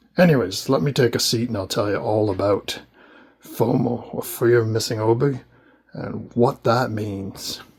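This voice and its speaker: Speaking at a moderate pace, a man with a Canadian accent uses a medium pitch. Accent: Americanized Canadian. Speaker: manga collector YouTuber. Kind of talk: casual video talk. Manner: casual, frequent fillers.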